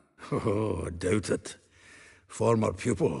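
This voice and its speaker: A raspy, put-on character voice moves at a fairly slow pace with ordinary pitch variation. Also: man, fairly low pitch for a man. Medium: video game. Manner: chatty, laughing.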